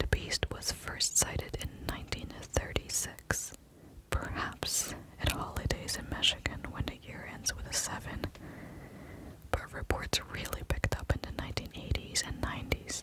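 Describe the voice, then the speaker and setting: A whisper at medium speed over clearly audible background noise. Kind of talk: ASMR book reading. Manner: whispered.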